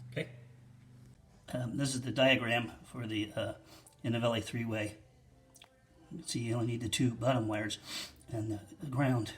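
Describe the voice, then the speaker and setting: With music in the background, a man at medium pitch talks at a moderate pace with fairly even intonation and long, frequent pauses. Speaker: DIY home installer, not an electrician. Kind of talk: casual how-to tutorial. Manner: hesitant, many fillers.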